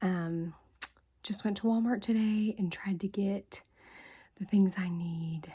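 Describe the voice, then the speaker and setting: The speaker is soft-spoken and talks at a fairly slow pace. The recording is very clean, with a silent background. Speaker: ASMR creator. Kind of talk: ASMR haul video. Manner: gum chewing while talking.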